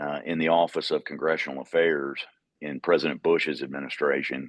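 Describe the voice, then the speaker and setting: In a Georgia accent, a man speaks with a very deep, low pitch and flat, monotone intonation. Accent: Georgian Southern. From US South, Georgia. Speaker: utility executive. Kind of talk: podcast interview. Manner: halting, many fillers.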